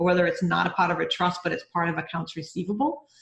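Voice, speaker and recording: Talking at a very fast pace, a woman with a Rhode Island accent has a fairly low pitch. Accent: Rhode Island, non-rhotic. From US Northeast, Rhode Island. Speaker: bookkeeper and mentor. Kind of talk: mentoring session. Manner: animated.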